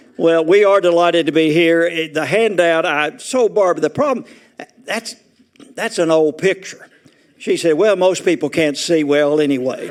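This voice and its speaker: Here a man with a Southern US accent talks at a moderate pace. His pitch is high, with ordinary variation. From Arkansas. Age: 80s+. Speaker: retirement community resident speaker. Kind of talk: humorous talk to an audience. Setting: auditorium with audience.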